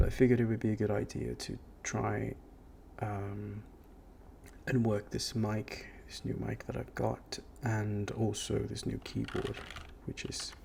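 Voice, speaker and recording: A soft-spoken man at a fairly slow pace, with long, frequent pauses. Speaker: web developer. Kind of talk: ASMR work-with-me narration.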